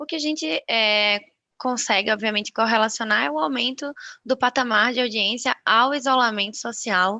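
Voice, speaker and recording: A bright, sharp tone in a Recife accent at a moderate pace, with ordinary pitch variation and a quiet background. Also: woman. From Brazil, Recife (Northeast). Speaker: media research sales manager. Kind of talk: webinar presentation.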